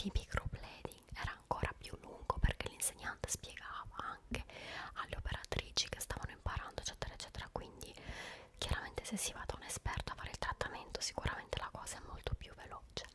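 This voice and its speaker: A soft-spoken woman whispers at a fairly quick pace. Noticeable background noise runs behind her. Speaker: ASMR-style vlogger. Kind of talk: casual vlog chat. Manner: soft close-mic whisper. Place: home room. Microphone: studio mic.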